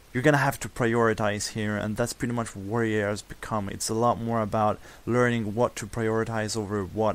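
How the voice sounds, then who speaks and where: A man with a non-native accent talks at a moderate pace in a monotone, flat intonation. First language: non-native English speaker. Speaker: gamer. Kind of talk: game tutorial voice-over. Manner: casual, unprepared.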